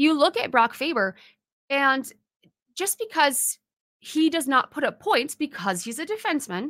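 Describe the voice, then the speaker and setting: Dry and close with no echo on a very clean recording with a silent background, a woman speaks at a fairly slow pace with a bright, sharp tone and lively intonation. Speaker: podcast host. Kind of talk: casual monologue. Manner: rambling.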